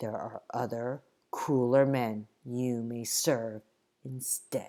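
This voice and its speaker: A put-on character voice at low-to-middle pitch and a very slow pace. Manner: cold, threatening.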